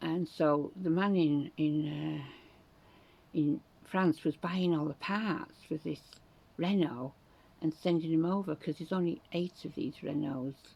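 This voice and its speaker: Fairly slow, fairly even speech in a dark, mellow tone with a Yorkshire accent. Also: woman, very deep, low pitch for a woman. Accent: Northern English (Yorkshire). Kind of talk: casual talk to camera. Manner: chatty, rambling.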